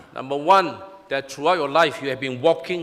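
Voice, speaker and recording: Noticeable background noise behind a man's raised, projected voice. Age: 60s. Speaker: pastor. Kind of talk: sermon.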